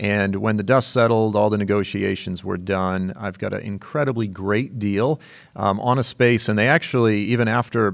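Over a quiet background, a man with an ordinary speaking voice and fairly low pitch talks at a moderate pace with fairly even intonation. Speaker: teacher, show host. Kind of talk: casual podcast monologue. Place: studio. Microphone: studio mic.

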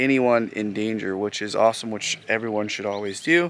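A man's voice, dry with no echo. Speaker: boat driver vlogger. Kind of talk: casual vlog chat. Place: open country. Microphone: phone near.

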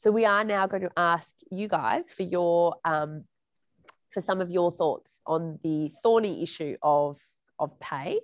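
Over a quiet background, the voice comes with an Australian accent, a fairly slow pace and ordinary pitch variation. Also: woman, fairly low pitch for a woman. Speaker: journalist moderating a panel. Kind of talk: moderated panel discussion. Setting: video call.

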